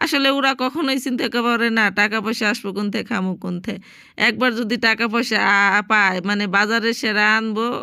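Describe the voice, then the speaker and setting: The tone is bright and sharp, with fairly even intonation. The recording is very clean, with a silent background. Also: woman, fairly high pitch for a woman. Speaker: domestic worker vlogger. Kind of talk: casual vlog narration.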